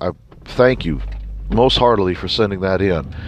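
A man speaks over noticeable background noise. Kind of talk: casual devotional talk. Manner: halting, many restarts.

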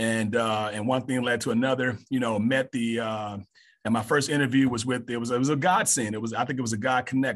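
An American-accented man at a medium pitch, fairly quick in pace, with fairly even intonation. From Mississippi, US South. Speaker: high school assistant principal and coach. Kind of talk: casual interview.

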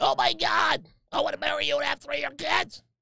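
Someone speaks in a put-on character voice at a fairly quick pace. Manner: gushing, whiny.

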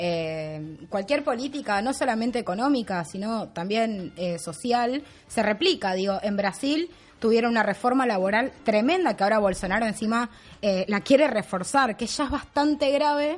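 A woman speaks in a normal speaking voice at a moderate pace, her fairly high pitch carried by lively intonation. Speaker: comedy show co-host. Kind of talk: satirical news commentary.

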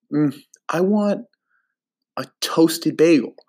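A man with a New Jersey accent in a very clean recording with a silent background. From New Jersey, US. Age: 20s. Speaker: podcast host. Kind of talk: casual chat.

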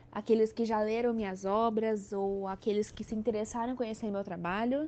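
A woman uses an unremarkable speaking voice, fairly high in pitch with fairly even intonation. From São Paulo state interior, Brazil. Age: 20s. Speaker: author. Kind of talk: podcast interview.

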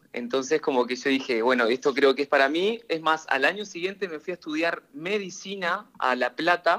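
Here a man talks at a moderate pace with a bright, sharp tone. His pitch is fairly high and his intonation lively. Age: 20s. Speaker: hairdresser. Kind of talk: interview.

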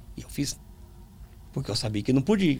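In a somewhat breathy voice, a man speaks with lively intonation. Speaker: pastor and preacher. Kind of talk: testimony interview. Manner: calm.

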